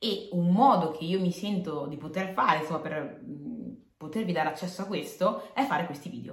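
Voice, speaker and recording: Noticeable background noise sits behind a woman speaking at a fairly quick pace. Her pitch is fairly low with ordinary variation, and her loudness swings widely. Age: 20s. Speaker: motivational podcaster. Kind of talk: motivational monologue. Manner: animated.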